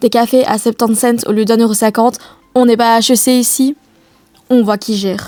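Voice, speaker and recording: A woman with a Liège accent speaks at a fairly high pitch in a gentle tone, with monotone, flat intonation. Long, frequent pauses break her speech while music plays in the background. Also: moderate pace. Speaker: vlogger, business student. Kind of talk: voice-over narration of vlog. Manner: ironic, gentle.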